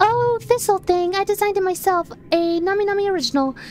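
A woman's squeaky, put-on character voice at an extremely high pitch, racing at a very fast pace over clear background noise. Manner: quick, bubbly.

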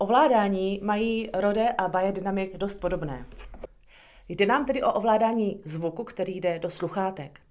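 A woman speaks against a quiet background. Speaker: product reviewer. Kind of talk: tutorial. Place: home room. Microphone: phone near.

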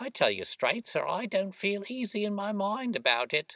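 A man's put-on character voice, high-pitched with big pitch swings, a bright, sharp tone and a moderate pace. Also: dry, close sound with no echo.

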